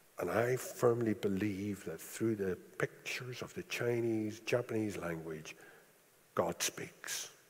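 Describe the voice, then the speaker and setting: A man with a Northern Irish accent, a fairly low pitch and ordinary pitch variation. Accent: Northern Irish (Belfast). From Northern Ireland (East Belfast). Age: 60s. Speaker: preacher. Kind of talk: sermon. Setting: church.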